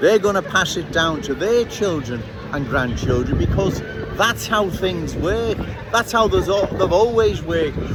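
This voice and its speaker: A man with a high-pitched voice speaks at a moderate pace with lively intonation over noticeable background noise. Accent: Liverpool. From Liverpool, England. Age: 60s. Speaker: political commentator. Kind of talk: street monologue. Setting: outdoors on a city street.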